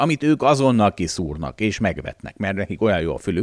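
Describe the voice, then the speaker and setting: A man's fairly low voice with vocal fry and very wide pitch swings, in a dry, close sound with no echo. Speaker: financial analyst and podcast host. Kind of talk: casual chat.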